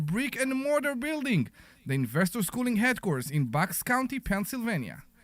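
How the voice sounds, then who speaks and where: On a very clean recording with a silent background, a man with a non-native accent speaks at a moderate pace, his pitch swinging very widely. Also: very even loudness. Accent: foreign. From outside the US. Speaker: radio host. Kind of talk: radio show opening. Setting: radio studio. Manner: animated.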